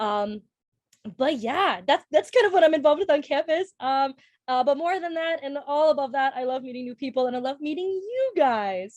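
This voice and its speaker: A woman's high-pitched, animated voice with a Minnesotan accent and lively intonation. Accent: Minnesota. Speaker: college student. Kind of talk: casual chat.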